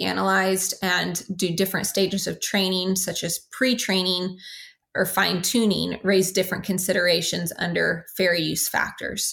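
A woman's monotone, flat voice with vocal fry, in a very clean recording with a silent background. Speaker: legal expert on intellectual property. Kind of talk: interview.

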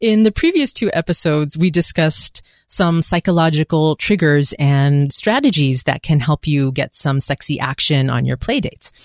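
A woman with a very deep, low pitch speaks with hardly any pauses and ordinary pitch variation. The recording is very clean, with a silent background and a dry, close sound with no echo. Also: moderate pace. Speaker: podcast co-host. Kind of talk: casual chat. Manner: laughs often.

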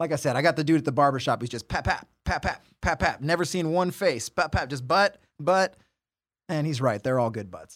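A plain, everyday voice from a man with an American accent, fairly high in pitch with ordinary pitch variation, at a fairly quick pace, on a very clean recording with a silent background. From southern California. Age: 40s. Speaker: podcast co-host, barber. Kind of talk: casual chat; sponsor read. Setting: studio.

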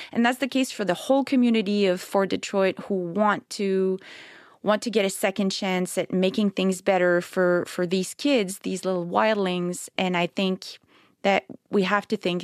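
In a Quebec accent, the speaker talks at a moderate pace with fairly even intonation, in a dry, close sound with no echo on a very clean recording with a silent background. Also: woman. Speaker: novelist. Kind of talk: interview. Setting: studio.

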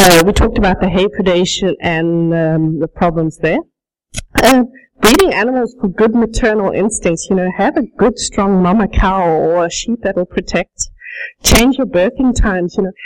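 With a slight South African accent, a woman talks at a medium pitch with ordinary pitch variation. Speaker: sheep rancher. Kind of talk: conference presentation. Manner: fast.

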